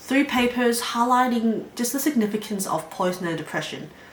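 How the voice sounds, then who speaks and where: A woman speaks at a fairly quick pace. Audible room echo and noticeable background noise fill the recording. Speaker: psychology student vlogger. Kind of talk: casual educational vlog talk. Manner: fast.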